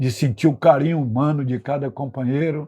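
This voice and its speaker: Somewhat breathy and dark, mellow in tone, a man speaks at a moderate pace in a fairly high pitch with fairly even intonation. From Brazil, Bahia (northeast), later Rio de Janeiro. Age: 80s+. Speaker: retired political activist, institute president. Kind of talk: interview, personal life story. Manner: frequent fillers and tag questions.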